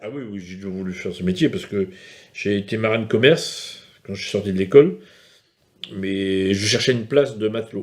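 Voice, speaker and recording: A man speaks at a moderate pace. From France, Brittany, Morbihan island. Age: 60s. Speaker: fisherman. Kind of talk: documentary interview. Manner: hesitant.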